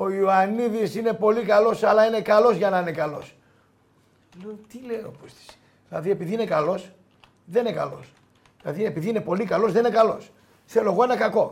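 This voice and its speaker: Speech comes at a fairly quick pace, broken by long, frequent pauses. Loudness swings a lot, and pitch varies in an ordinary way. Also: man, high pitch for a man. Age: 50s. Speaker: sports journalist. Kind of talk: casual chat. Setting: studio.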